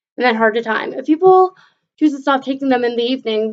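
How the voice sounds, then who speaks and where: A woman's high-pitched voice. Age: young. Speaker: vlogger with ADHD. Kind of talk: reading aloud with personal comments. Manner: halting, self-correcting.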